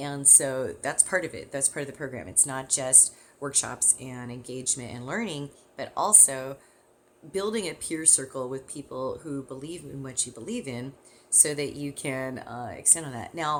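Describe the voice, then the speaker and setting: A woman with a Californian accent speaks at a very deep, low pitch, moderate pace, and ordinary pitch variation. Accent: California. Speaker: parenting and caregiving educator. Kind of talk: course introduction talk.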